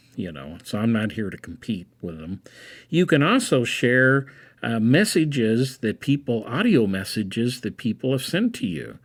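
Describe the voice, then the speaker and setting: Medium-pitched man in a normal speaking voice, lively intonation, moderate pace. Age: 60s. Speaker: college instructor presenting a webinar. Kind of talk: webinar presentation. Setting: online webinar. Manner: casual, with frequent fillers.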